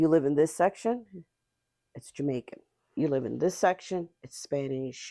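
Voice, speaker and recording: A woman with a Nova Scotian accent speaks in a dark, mellow tone with vocal fry. The recording is very clean, dry and close, with a silent background and no echo. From Nova Scotia, Whitney Pier (Cape Breton). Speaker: community justice worker. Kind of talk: casual chat. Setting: podcast interview.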